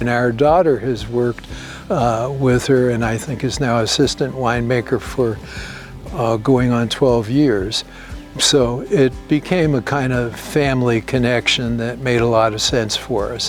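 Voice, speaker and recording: With music in the background, a man of medium pitch with an American accent talks at a fairly slow pace with fairly even intonation. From New York City. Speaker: winery owner. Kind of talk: interview answer.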